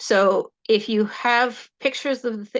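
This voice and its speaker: A woman speaks loudly. The background is quiet. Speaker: horse educator and hobby historian. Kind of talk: talk at an online club meeting.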